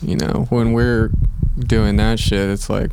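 Noticeable background noise sits behind a man with a very deep, low pitch. He moves at a moderate pace with very wide pitch swings. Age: 20s. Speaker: skateboarder. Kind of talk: casual chat.

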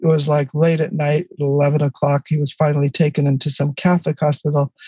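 A woman's very deep, low voice in a Californian accent, with monotone, flat intonation, a dark, mellow, somewhat breathy tone and a dry, close sound with no echo. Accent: Californian American. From US, East Los Angeles. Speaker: author and educator. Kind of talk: interview.

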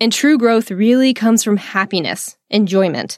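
In a very clean recording with a silent background and a dry, close sound with no echo, a speaker with a Texan accent talks at a fairly slow pace with an animated tone and ordinary pitch variation. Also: woman. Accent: Texan American English. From Texas. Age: 20s. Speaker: podcast host and business mindset coach. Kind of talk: casual solo podcast monologue.

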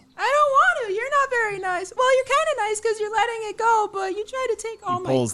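A squeaky, female-sounding character voice is put on at an extremely high pitch. It races along very fast with hardly any pauses. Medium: actual play. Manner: bubbly, naive.

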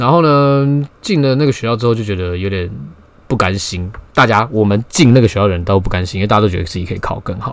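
Speaking at a fairly quick pace, a man with a Taiwanese accent uses a fairly low pitch and lively intonation. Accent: Taiwanese Mandarin. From Taiwan, Taipei. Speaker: podcast host. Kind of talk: solo casual monologue. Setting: home bedroom.

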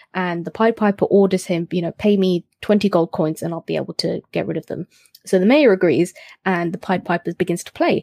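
A woman's medium-pitched voice in a British accent, dark and mellow in tone, at a fairly quick pace, with a dry, close sound with no echo on a very clean recording with a silent background. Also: ordinary pitch variation. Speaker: history podcaster. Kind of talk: casual chat.

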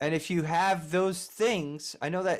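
In a normal speaking voice, a man with an American accent talks slowly, fairly high in pitch, with ordinary pitch variation. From US Northeast, Philadelphia. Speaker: music producer and engineer. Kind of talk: interview.

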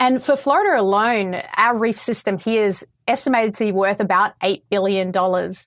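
A woman with an Australian accent speaks at a moderate pace. Her pitch is medium, with ordinary variation. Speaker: coral scientist. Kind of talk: interview answers explaining science. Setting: video call.

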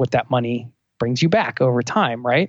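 A man speaks in a Northeastern US accent at a moderate pace. His medium pitch varies in an ordinary way. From US Northeast, outside Philadelphia. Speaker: travel podcaster. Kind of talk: casual interview.

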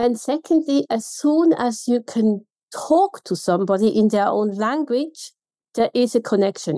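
With a Swiss German accent, a woman talks at a fairly slow pace in a fairly high voice with a dark, mellow tone, her intonation lively and the sound dry and close with no echo. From Switzerland. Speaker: contact centre consultant. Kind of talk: interview.

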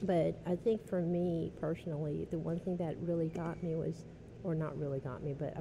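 Vocal fry marks this woman's voice, which is pitched very deep and low. Her tone is dark and mellow. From New Orleans East, Louisiana. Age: 30s. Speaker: accountant. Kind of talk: casual interview. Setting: restaurant.

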